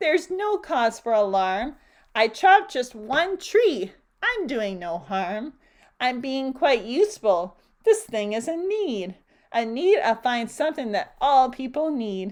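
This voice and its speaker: On a very clean recording with a silent background, a woman puts on a character voice that is nasal and high-pitched, moving at a fairly slow pace with very wide pitch swings. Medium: read story.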